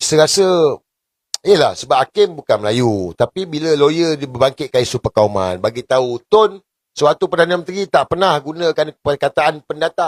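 The man's voice sits at a fairly high pitch, with an animated tone. His intonation is lively and his pace moderate. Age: 40s. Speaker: political commentator. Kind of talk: political commentary vlog.

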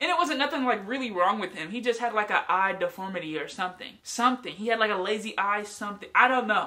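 A woman with an animated tone and lively intonation, very fast and with hardly any pauses. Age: 20s. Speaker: youtuber. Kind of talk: casual vlog storytelling. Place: home room. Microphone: phone near.

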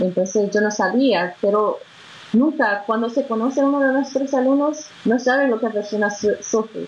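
A woman at a moderate pace, with ordinary pitch variation and very even loudness. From Brazil, Belo Horizonte. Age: 20s. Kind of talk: interview testimony. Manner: halting. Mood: warm, smiling. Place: home room. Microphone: video call.

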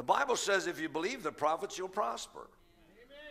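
The background stays quiet. A man's tone is bright and sharp. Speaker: pastor preaching. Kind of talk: sermon. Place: church. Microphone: headset.

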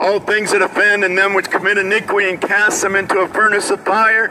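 A man's raised, projected voice at a moderate pace, over noticeable background noise. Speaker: street preacher. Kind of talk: street sermon delivered outdoors to passersby. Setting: outdoors in a city plaza. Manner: fervent, exhortatory. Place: street.

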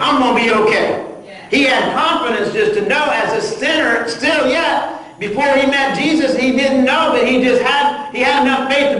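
The voice shows ordinary pitch variation, with light background noise and audible room echo. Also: man. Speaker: pastor. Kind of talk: sermon. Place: church. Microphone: camera far.

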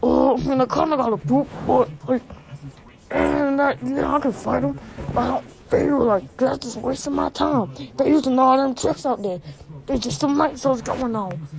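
Using a put-on character voice, a man talks at an extremely high pitch and a moderate pace. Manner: blustering, excuse-making, bravado.

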